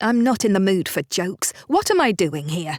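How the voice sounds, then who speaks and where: A woman's put-on, growling character voice at medium pitch and a moderate pace. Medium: read story. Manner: firm, tart.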